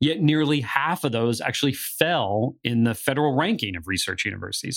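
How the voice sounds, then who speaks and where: A man talks at a very fast pace with lively intonation and a medium pitch. The recording is very clean, with a silent background. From northeastern Pennsylvania. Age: 40s. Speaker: podcast co-host on higher education. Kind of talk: podcast discussion with scripted segments.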